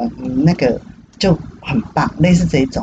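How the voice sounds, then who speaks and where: A woman speaks over noticeable background noise. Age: 60s. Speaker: retiree working at senior cafe. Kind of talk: casual interview chat. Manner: animated, frequent laughter.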